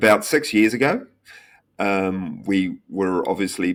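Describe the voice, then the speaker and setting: Very deep and low, a man's voice moves at a fairly slow pace in a New Zealand accent on a very clean recording with a silent background. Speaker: tech company founder and CEO. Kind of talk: podcast interview. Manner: hesitant, many fillers.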